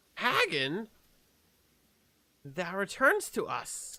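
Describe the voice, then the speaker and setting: A man uses a put-on character voice pitched high. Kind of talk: archaic, thee and thou. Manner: bad, exaggerated acting.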